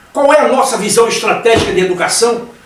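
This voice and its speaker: A man's extremely high-pitched voice at a very fast pace, ordinary pitch variation, with audible room echo and noticeable background noise. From Brazil. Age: 70s. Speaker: career consultant. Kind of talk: panel discussion.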